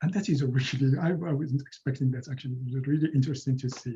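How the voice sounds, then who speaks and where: With a Moroccan accent, a man talks at a very fast pace in a fairly high, somewhat breathy voice with a dark, mellow tone and fairly even intonation. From Morocco. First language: Moroccan Arabic. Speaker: linguistics professor; presenter. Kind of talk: lecture. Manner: halting, many repetitions and fillers. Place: home room. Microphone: webcam.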